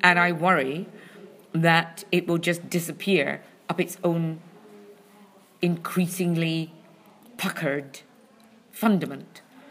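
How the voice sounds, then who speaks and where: Speaking very slowly with long, frequent pauses, a woman with a Scottish accent keeps a fairly low, monotone, flat delivery. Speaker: comedy critic. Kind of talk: casual chat. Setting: venue with loud drumming in background.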